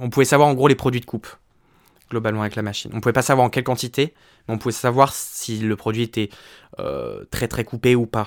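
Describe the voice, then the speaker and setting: A man with a medium pitch and fairly even intonation talks very fast yet with long, frequent pauses, on a very clean, dry, close recording with a silent background and no echo. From France, Le Mans (Sarthe). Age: 20s. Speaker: drag artist. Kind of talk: casual interview.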